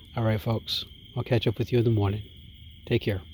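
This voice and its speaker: This man's voice has a dark, mellow tone, is somewhat breathy, and shows ordinary pitch variation. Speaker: outdoor vlogger. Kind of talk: casual vlog narration. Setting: outdoors at a campsite.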